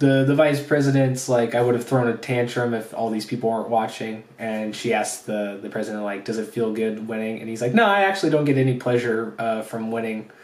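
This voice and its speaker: Over noticeable background noise and audible room echo, a man at a medium pitch talks at a fairly quick pace with hardly any pauses and fairly even intonation. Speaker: anime reviewer. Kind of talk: solo video review. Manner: hesitant, many fillers.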